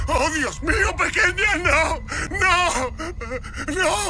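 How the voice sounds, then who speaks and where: Over loud background music, a man puts on a character voice with an extremely high pitch and speaks very slowly. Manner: panicked, desperate.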